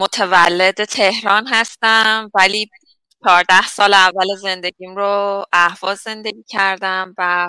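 With a bright, sharp tone, a woman speaks at a very slow pace and in a monotone, flat intonation, the sound dry and close with no echo. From Iran, Ahvaz (Khuzestan). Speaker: water engineering professor. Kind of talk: interview.

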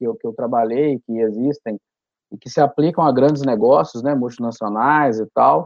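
Fairly unhurried male speech with a normal amount of pitch movement. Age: 30s. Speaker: management consultant. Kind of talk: casual interview. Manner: halting, repeats words.

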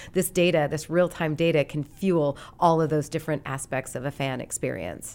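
A woman with an American accent, a very deep, low pitch, vocal fry, fairly even intonation, a moderate pace and hardly any pauses. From Montana, Great Falls. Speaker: sports league marketing executive. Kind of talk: interview.

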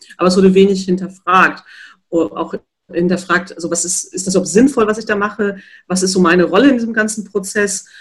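A woman talks at a fairly quick pace in a medium pitch, somewhat breathy, with fairly even intonation. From North Rhine-Westphalia, near Dortmund. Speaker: physiotherapist and professor. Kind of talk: interview.

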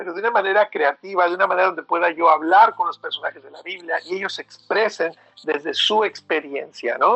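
A man talks fairly quickly with hardly any pauses and big swings in loudness, in a dry, close sound with no echo. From Mexico City. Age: 40s. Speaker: author. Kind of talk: interview. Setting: phone call. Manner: halting.

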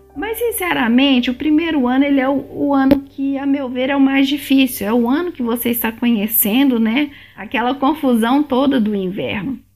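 Noticeable background noise accompanies speech at a moderate pace with hardly any pauses and ordinary pitch variation. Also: woman, high pitch for a woman. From Brazil, Belo Horizonte (Minas Gerais). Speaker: immigration vlogger. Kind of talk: casual vlog monologue.

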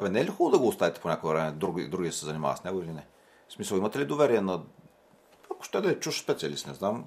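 A man's very deep, low voice, very fast and full of lively intonation. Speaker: sports podcast host. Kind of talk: interview. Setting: studio.

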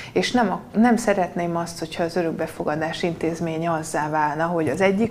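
Here is a woman with an ordinary speaking voice, talking at a fairly quick pace. Her pitch is fairly low, with ordinary pitch variation. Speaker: politician. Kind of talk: debate.

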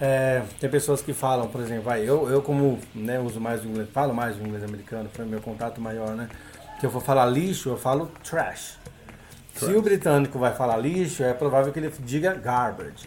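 In a room with audible echo, a man of medium pitch talks at a moderate pace with ordinary pitch variation. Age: 40s. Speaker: language teacher. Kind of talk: casual interview.

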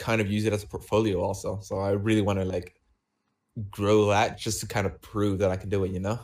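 A man speaks at a moderate pace in a fairly low voice. The recording is very clean, with a silent background. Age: 20s. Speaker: YouTuber and streamer. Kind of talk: casual chat. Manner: halting.

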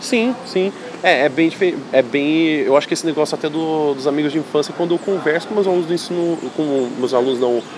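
Noticeable background noise runs under a woman talking at a fairly quick pace. Her pitch is very deep and low. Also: ordinary pitch variation. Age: 20s. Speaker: writing teacher and podcast host. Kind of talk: casual chat.

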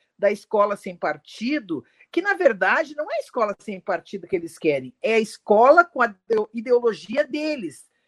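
A woman's voice with big swings in loudness, in a dry, close sound with no echo. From Rio Grande do Sul, Brazil. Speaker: women's wing leader of a political party. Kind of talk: political live discussion.

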